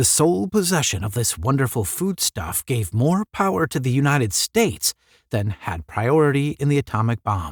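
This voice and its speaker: A somewhat breathy man at medium pitch with very wide pitch swings, in a very clean recording over a silent background, dry and close with no echo. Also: moderate pace. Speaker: audiobook narrator. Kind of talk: unedited story read-aloud with commentary.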